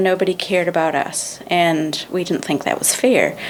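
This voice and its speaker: A woman speaks at a fairly low pitch against noticeable background noise. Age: 60s. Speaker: charity founder. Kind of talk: podcast interview.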